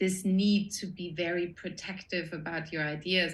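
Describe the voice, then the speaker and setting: With audible room echo, a woman speaks at a fairly slow pace and fairly low pitch, her tone bright and sharp and her intonation fairly even. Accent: Austrian. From Austria. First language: German. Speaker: production designer. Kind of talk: interview conversation.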